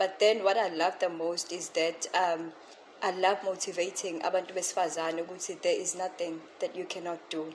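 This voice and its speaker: Noticeable background noise sits behind a woman whose fairly low voice is monotone, with flat intonation. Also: moderate pace. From South Africa, Pietermaritzburg area. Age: 20s. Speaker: entrepreneur. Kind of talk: interview.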